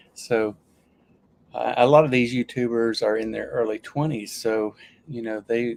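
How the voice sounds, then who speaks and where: The speaker has a Southern US accent. The pace is fairly slow. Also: man, dry, close sound with no echo. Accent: Southern US accent, returned after losing it. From US South, Alabama. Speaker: YouTuber and Air Force veteran. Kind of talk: casual livestream chat. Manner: hesitant, with frequent restarts and fillers.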